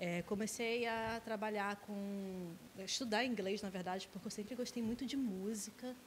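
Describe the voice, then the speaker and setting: A woman with an unremarkable speaking voice, fairly high pitch, fairly even intonation and a moderate pace. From Brazil, Nova Iguaçu (Rio de Janeiro state). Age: 30s. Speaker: English teacher. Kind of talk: casual interview chat.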